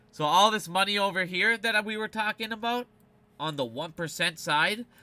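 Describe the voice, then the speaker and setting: The recording is very clean with a silent background. A man projects a raised voice at high pitch, moderate pace and ordinary pitch variation. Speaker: finance video commentator. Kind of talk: casual explainer monologue. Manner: animated.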